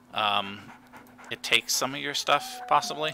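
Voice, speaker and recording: Over noticeable background noise, a man talks quietly in a relaxed tone at a fairly slow pace. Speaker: gaming streamer. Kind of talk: live gameplay commentary.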